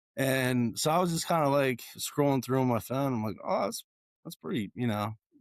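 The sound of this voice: Raspy and close, the man's voice sounds dry with no echo. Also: medium pitch for a man, lively intonation, moderate pace.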